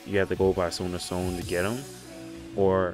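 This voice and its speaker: Music plays in the background. Over it, a man with a very deep, low pitch talks at a moderate pace. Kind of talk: explaining a game tutorial.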